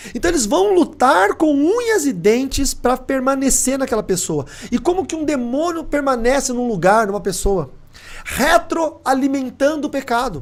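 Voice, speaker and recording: Extremely high in pitch, a man talks at a moderate pace with lively intonation. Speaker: pastor. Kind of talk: sermon.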